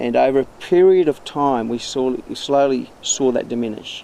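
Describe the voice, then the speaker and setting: A man is speaking. He has an Australian accent. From central West Queensland, Australia. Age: 50s. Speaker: recreational fisher. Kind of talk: interview testimony. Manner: halting, with repetitions.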